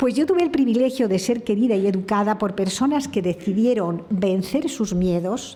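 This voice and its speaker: A woman speaks at a moderate pace in a somewhat breathy voice with a dark, mellow tone. Her pitch varies in an ordinary way, with audible room echo around her. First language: French (speaking Spanish). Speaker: speaker at a heritage conference. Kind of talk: conference talk. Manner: halting.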